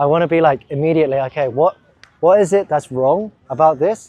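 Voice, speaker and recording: With an English accent, a man speaks at a fairly quick pace in a fairly high pitch. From England. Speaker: YouTuber and language learner. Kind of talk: interview answers. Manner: casual, many fillers.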